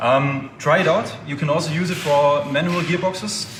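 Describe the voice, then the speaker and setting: A man with a German accent, fairly high pitch and fairly even intonation, with audible room echo and noticeable background noise. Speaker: oil company representative. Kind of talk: product explanation.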